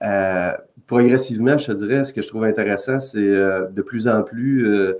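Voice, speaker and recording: Speaking at a moderate pace with fairly even intonation, a man with a Quebec accent is heard on a very clean recording with a silent background. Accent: Québécois French. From Quebec, Canada. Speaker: occupational safety consultant. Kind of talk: podcast interview. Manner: direct.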